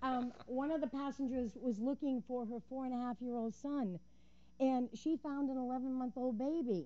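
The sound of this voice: At a moderate pace, a woman speaks with a high pitch, a dark, mellow tone, and fairly even intonation.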